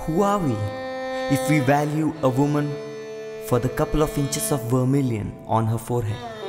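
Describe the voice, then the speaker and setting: Over music in the background, a man at medium pitch talks at a moderate pace with very even loudness, ordinary pitch variation, and long, frequent pauses. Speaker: voice-over artist. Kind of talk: spoken word tribute voice-over, reflective monologue. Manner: reflective, questioning.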